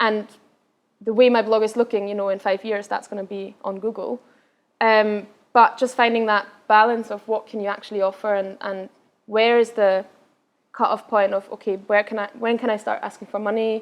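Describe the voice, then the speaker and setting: A woman with a slight Scottish accent speaks in a flat, monotone way. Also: fairly high pitch for a woman, moderate pace. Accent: slight Scottish tinge in English. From Austria, Vienna. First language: Austrian German. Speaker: travel blogger. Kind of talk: Q&A after a talk.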